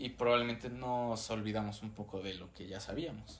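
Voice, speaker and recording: There's audible room echo around a man speaking at a medium pitch. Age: 19, turning 20. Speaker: university student podcast co-host. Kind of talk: casual chat.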